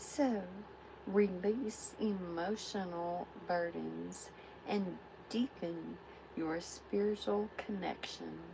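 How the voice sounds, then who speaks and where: The voice is soft-spoken and the pace very slow. Background noise is noticeable. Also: woman. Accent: American. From Texas. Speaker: tarot reader. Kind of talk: live tarot reading. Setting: livestream.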